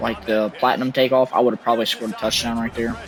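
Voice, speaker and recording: A man's fairly even intonation comes through noticeable background noise. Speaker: gaming youtuber. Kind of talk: gameplay commentary. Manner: low-energy, subdued.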